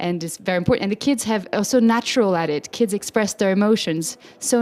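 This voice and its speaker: At a fairly quick pace, a woman with a French accent talks with ordinary pitch variation. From French-speaking Switzerland. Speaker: opera singer and children's music educator. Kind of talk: interview. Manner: animated.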